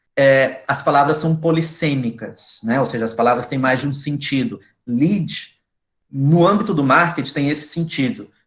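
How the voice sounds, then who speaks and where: A man with an unremarkable speaking voice talks at a moderate pace, pitched fairly high, with ordinary pitch variation. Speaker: university lecturer. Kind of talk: lecture. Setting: video call.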